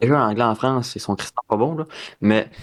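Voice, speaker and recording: On a very clean recording with a silent background, a man speaks at medium pitch in a Quebec accent with ordinary pitch variation. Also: dry, close sound with no echo. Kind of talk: casual, conversational.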